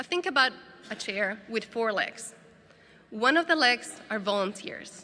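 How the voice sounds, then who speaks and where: A woman with a Spanish accent speaks at a fairly slow pace in a fairly high pitch, leaving long, frequent pauses. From Bolivia, La Paz. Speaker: disaster response volunteer worker. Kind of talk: conference talk. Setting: conference stage with audience.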